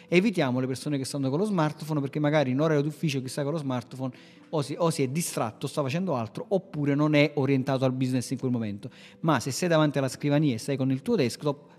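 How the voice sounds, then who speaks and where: With music in the background, a man with a fairly high voice talks at a very fast pace, his pitch varying in an ordinary way. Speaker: podcast host, web marketing agency owner. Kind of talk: casual instructional chat on marketing. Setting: remote recording with co-host.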